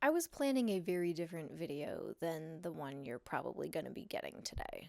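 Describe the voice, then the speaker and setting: A soft-spoken woman talks at a fairly quick pace. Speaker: artist and photographer. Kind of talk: personal vlog monologue. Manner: hesitant, many fillers.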